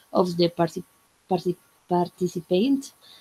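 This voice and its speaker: With a Spanish accent, a woman of medium pitch has a dark, mellow tone in a dry, close sound with no echo. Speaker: English student. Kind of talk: class presentation. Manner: halting.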